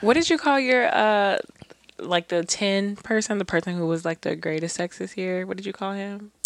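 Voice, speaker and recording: A woman's plain, everyday voice at a medium pitch, with lively intonation. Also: moderate pace. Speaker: podcast co-host. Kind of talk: casual chat.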